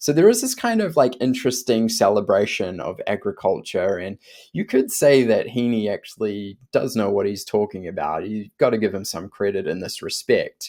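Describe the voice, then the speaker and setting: With a New Zealand accent, a man talks at a moderate pace with hardly any pauses. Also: very clean recording, silent background. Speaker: literature teacher. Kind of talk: lecture. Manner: casual conversational.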